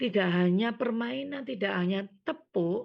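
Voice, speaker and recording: At a fairly slow pace, a woman speaks. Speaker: scout leader trainer. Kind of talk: training lecture.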